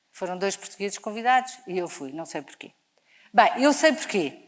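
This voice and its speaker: A woman speaks in an animated tone. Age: 60s. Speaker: charity leader. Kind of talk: inspirational talk. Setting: stage with audience.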